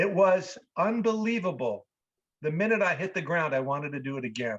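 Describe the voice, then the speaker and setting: A man's high voice at a fairly quick pace, with very wide pitch swings. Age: 60s. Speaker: actor and improv teacher. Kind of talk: interview.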